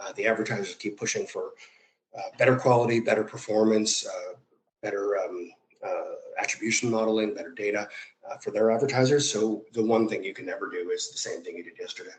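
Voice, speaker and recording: Talking at a very fast pace, a man speaks with an American accent. His loudness swings widely. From US Midwest, Chicago northwest suburbs. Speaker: media company executive. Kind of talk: interview conversation. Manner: many fillers and restarts.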